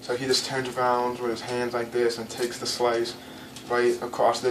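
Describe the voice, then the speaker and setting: At a moderate pace, a man speaks in a medium pitch with monotone, flat intonation, amid noticeable background noise and audible room echo. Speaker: anime reviewer. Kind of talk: casual video commentary. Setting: home, in front of a blank wall. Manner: halting, many fillers and stumbles.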